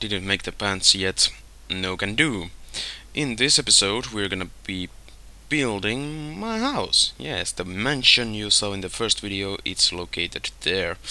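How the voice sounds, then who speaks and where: A man's fairly low-pitched voice with a bright, sharp tone at a fairly slow pace. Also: lively intonation. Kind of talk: gameplay commentary. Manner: calm.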